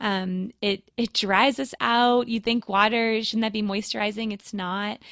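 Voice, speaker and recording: A woman speaks in a normal speaking voice, fairly high in pitch, with fairly even intonation at a fairly slow pace. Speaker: midwife. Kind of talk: casual chat. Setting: video call.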